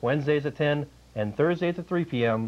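The man's speech moves at a moderate pace, his intonation lively. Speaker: show host. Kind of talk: talk show host intro. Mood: dry joking. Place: studio.

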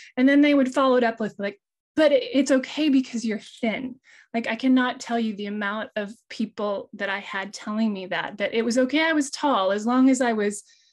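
A woman speaks at a moderate pace against a quiet background. Her pitch is fairly high, with ordinary pitch variation. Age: 50s. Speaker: illustrator; panelist. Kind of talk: panel discussion. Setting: video call. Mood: earnest, personal, reflective. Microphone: video call.

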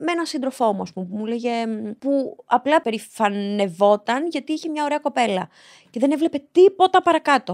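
Over a quiet background, a woman speaks at a moderate pace. Her voice is high-pitched and swings very widely in pitch. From Greece, Piraeus (born in Albania); Greece. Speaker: reality show contestant; podcast guest. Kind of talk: casual interview. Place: studio. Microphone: studio mic.

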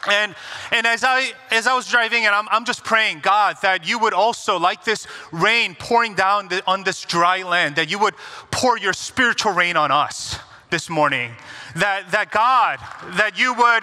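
A man speaks in a raised, projected voice with very even loudness. The background is quiet. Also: ordinary pitch variation, fairly slow pace. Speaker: guest pastor. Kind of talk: sermon prayer. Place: church.

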